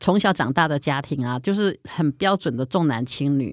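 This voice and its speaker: A woman's very deep, low voice with lively intonation in a very clean recording with a silent background. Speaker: writer and editor. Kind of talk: casual chat.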